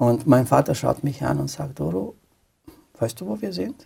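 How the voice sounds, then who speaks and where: A man speaks with a Romanian accent. His pace is fairly slow. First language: Romanian (speaking German). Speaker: pastor. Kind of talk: testimony. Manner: halting.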